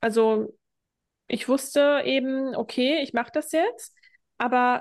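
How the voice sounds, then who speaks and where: A woman with a high-pitched voice speaks with ordinary pitch variation. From Germany. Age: 30s. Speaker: hypnosis and self-worth coach. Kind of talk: podcast interview.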